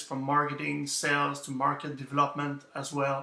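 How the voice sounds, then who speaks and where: Through noticeable background noise, a man with a fairly high voice speaks in a French Canadian accent. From Quebec. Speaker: author. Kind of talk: interview answers. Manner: hesitant, many fillers.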